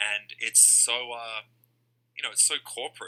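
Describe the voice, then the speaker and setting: Fairly quick delivery from a male speaker in an Australian accent. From Australia, Perth. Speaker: card collector. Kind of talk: casual chat.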